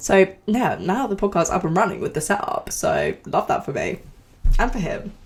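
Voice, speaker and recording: A woman at a moderate pace, her pitch moving in very wide swings. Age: 20s. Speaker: podcast host. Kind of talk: casual podcast talk.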